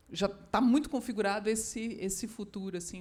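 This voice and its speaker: A woman speaks with ordinary pitch variation. Audible room echo surrounds her. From southern Brazil, Porto Alegre. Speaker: writer. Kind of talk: literary panel talk. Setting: stage with audience. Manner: halting.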